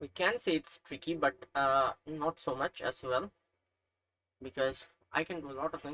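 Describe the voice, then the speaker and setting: A man with a Nepali accent speaks at a moderate pace and fairly high pitch, using a bright, sharp tone. He takes long, frequent pauses, with ordinary pitch variation and a dry, close sound with no echo. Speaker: chess learner streamer. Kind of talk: tutorial. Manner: hesitant, with fillers.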